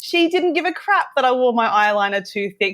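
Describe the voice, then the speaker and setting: A woman with an Australian accent at a fairly quick pace, with ordinary pitch variation, in a very clean recording with a silent background. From Australia, Western Sydney. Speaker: teacher. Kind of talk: interview.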